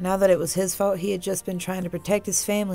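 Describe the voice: Just plain reading aloud.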